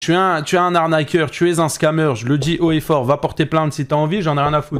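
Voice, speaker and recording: A man at a fairly high pitch and fairly quick pace, on a very clean recording with a silent background. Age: 20s. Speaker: streamer reacting to videos. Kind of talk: live stream reaction commentary. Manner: animated.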